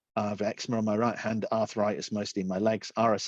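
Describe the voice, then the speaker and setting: In a British accent, a man talks at a very fast pace with a fairly low pitch. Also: quiet background. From Britain. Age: 50s. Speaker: accessibility and design specialist. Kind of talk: talk presentation. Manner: halting, repetitive fillers.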